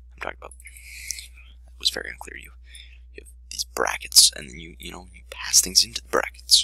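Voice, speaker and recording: Someone whispers at a fairly quick pace. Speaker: programming tutorial youtuber. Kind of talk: tutorial. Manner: hesitant, many fillers; casual.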